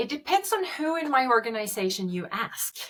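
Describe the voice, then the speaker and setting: A woman speaks at a moderate pace with a Swedish accent. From Sweden. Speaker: medtech company founder. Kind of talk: interview. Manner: frequent hesitations and fillers.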